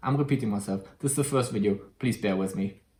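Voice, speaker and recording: A man talks in a German accent with a somewhat breathy voice. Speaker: YouTuber. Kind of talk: tutorial; casual chat. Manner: halting.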